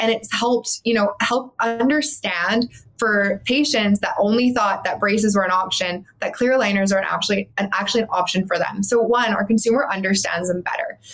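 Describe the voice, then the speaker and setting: A woman's fairly high voice in a Canadian accent, with hardly any pauses and noticeable background noise. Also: ordinary pitch variation, moderate pace. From Canada, Calgary. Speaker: dental practice coach. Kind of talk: interview.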